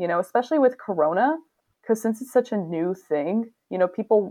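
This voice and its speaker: A woman speaks with a Canadian accent at a fairly quick pace. Her intonation is lively. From Canada. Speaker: podcast guest. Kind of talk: casual chat.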